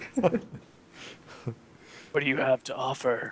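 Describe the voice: A raspy, put-on character voice. Its pitch sits low-to-middle.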